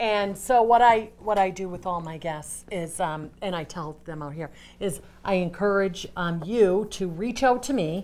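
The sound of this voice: A woman with a fairly low pitch and a slightly mellow tone speaks at a fairly slow pace with few pauses and ordinary pitch variation.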